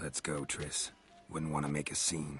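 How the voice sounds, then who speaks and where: Over clear background music, a raspy put-on character voice delivers lines in a flat monotone at a moderate pace. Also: man. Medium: video game. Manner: terse, gruff.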